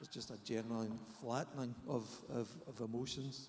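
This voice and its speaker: There's audible room echo as a man speaks in a Scottish accent. His pitch is medium and his pace moderate. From Scotland. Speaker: therapist. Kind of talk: panel discussion. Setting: conference stage with audience.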